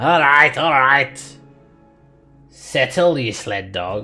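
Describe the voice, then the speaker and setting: A raspy, put-on character voice at a low-to-middle pitch creeps along very slowly over faint background music. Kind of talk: rough, colloquial. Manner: gruff, brusque.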